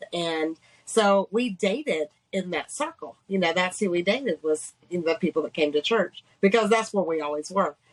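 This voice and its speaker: With a slight Georgia accent, a woman speaks at a medium pitch and moderate pace, her intonation lively and the sound dry and close with no echo. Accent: slight Georgia Southern. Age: 50s. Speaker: businesswoman sharing survival story. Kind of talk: testimony.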